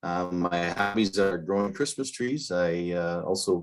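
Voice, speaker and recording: On a very clean recording with a silent background, a man with an Upper Midwest accent speaks with ordinary pitch variation. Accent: Upper Midwest American. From northeast Wisconsin, US. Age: 60s. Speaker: political candidate. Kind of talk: candidate forum opening statement. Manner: halting, many fillers.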